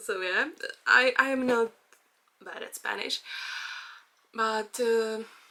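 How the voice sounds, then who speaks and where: A woman with a Czech accent speaks at a very slow pace and a fairly high pitch, her bright, sharp tone flat and monotone, with long, frequent pauses and big swings in loudness. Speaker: vlogger. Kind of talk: personal vlog monologue. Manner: halting, many fillers.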